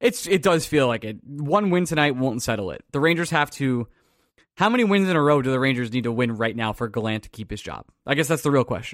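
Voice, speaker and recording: On a very clean recording with a silent background, a man speaks at a very fast pace with a Long Island accent. His medium-pitched voice has lively intonation. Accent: Long Island New York. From Long Island, New York. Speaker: podcast host. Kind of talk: casual sports podcast banter.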